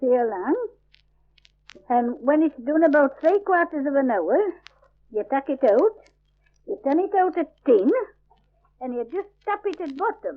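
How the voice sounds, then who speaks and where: A woman in a strong Yorkshire accent, fairly slow, with very wide pitch swings. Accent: broad Yorkshire dialect. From Yorkshire, England. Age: 70s. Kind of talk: dialect survey recording, describing a recipe. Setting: old field recording. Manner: casual, conversational.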